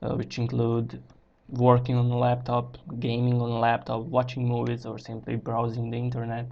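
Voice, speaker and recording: A man speaks with a non-native accent at a medium pitch. His pace is moderate. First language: not English. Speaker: gaming YouTuber. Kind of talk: tutorial. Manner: halting.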